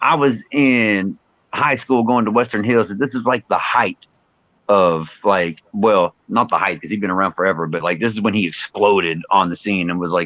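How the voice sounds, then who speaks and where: In a Texan accent, the voice comes through dry and close with no echo. The background is quiet. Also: man, fairly low pitch for a man, ordinary pitch variation, moderate pace. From Texas, Fort Worth. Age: 40s. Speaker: rapper. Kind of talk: interview. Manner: casual, filler-heavy.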